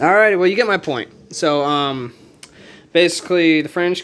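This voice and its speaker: The recording is very clean with a silent background as a man talks at a moderate speed, his pitch varying in an ordinary way. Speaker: board game youtuber. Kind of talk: tutorial. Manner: casual, halting with fillers.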